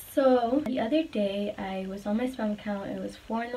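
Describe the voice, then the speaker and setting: At a moderate pace and a fairly high pitch, a woman speaks with fairly even intonation over noticeable background noise. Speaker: vlogger. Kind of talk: casual monologue vlog. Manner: trembling, quaky voice when passionate.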